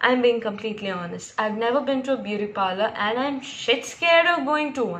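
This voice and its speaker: A woman talks in a raised, projected voice. Her pace is moderate. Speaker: vlogger. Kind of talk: casual vlog chat. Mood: amused, laughing often. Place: home room. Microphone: phone near.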